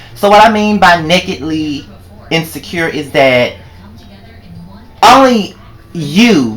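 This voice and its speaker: A man with an American accent speaks very slowly at a high pitch, with lively intonation and long, frequent pauses. Noticeable background noise and audible room echo fill the recording. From Mississippi. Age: 20s. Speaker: vlogger. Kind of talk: personal vlog monologue. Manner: animated.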